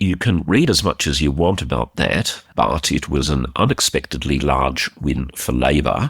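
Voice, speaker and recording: The voice carries vocal fry at a moderate pace with hardly any pauses, very even loudness, and ordinary pitch variation, the sound dry and close with no echo. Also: man, very deep, low pitch for a man. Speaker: defence commentary podcast host. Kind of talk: podcast commentary. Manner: casual, conversational.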